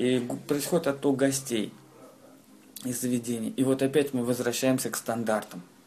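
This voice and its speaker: Medium-pitched man at a moderate pace, with fairly even intonation and long, frequent pauses. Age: 20s. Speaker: restaurateur. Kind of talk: interview. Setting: in a restaurant.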